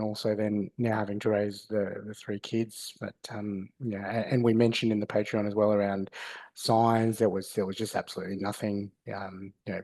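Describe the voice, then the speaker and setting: A man with an Australian accent talks at a moderate pace in a fairly low pitch, his dark, mellow tone flat and monotone against a quiet background. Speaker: podcast host. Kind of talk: casual chat. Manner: halting.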